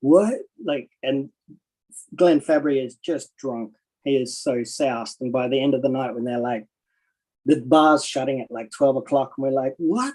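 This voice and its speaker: This man's voice sits at a medium pitch with ordinary variation. He keeps a moderate pace. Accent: Australian. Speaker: comic artist. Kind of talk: casual chat.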